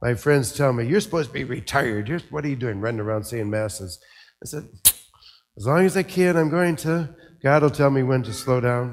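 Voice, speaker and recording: A man with an American accent has an ordinary speaking voice, a medium pitch and lively intonation at a fairly quick pace. The recording is very clean, with a silent background. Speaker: priest giving a homily. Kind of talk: homily at Mass, with a reflective eulogy-style tribute to a deceased priest friend. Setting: church, speaking to a congregation.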